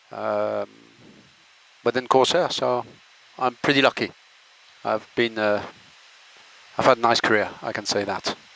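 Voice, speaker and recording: A man with a French accent speaks at a fairly slow pace with long, frequent pauses. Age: 60s. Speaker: airline pilot. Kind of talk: informal presentation. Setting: cockpit. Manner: halting.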